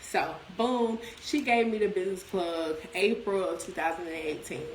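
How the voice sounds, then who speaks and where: A woman with a medium-pitched, animated voice talks at a moderate pace with ordinary pitch variation, with audible room echo and noticeable background noise. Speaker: business promoter. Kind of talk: casual livestream talk. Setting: livestream. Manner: loud.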